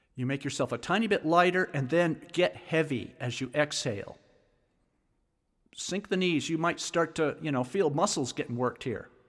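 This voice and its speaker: A man's voice, a plain, everyday voice, with ordinary pitch variation in a very clean recording against a silent background. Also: fairly high pitch for a man. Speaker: sound healing teacher. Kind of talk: guided instruction, meditation-style grounding exercise. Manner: calm, slow, instructional.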